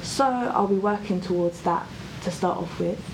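A woman's medium-pitched voice with a South London accent at a moderate pace, with audible room echo and noticeable background noise. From South London (Croydon), England. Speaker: athlete. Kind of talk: interview.

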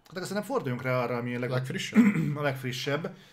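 A man's voice over noticeable background noise. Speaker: gaming news show co-host. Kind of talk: casual chat. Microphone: noise gate cutting out his audio.

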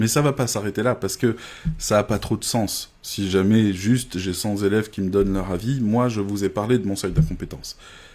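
A man speaks at a fairly quick pace in a dark, mellow tone, with a fairly low pitch and ordinary pitch variation. The recording is very clean, with a silent background. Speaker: online course creator. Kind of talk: live stream sales pitch. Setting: live video stream. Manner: hesitant, many fillers.

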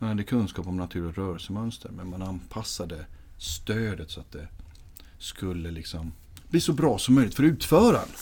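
Lively intonation marks an ordinary speaking voice that keeps a moderate pace. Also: man. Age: 30s. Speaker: physiotherapist and patient-handling trainer. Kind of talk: interview.

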